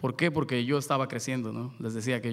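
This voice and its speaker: A man speaks at a fairly quick pace with fairly even intonation. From Mexico, port of Veracruz. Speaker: luthier and son jarocho musician. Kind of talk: panel talk. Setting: stage with audience. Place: stage. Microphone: podium.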